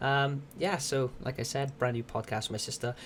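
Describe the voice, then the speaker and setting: Quiet and somewhat breathy, a man is speaking. His pitch is medium. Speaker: podcast host and streamer. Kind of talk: casual chat. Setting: at home.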